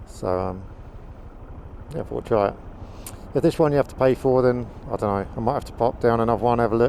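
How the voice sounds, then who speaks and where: Speaking very fast with a southern English accent, a man at medium pitch uses lively intonation. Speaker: motovlogger. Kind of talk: casual vlog monologue while riding. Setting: riding a motorbike outdoors, helmet mic. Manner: halting, many fillers.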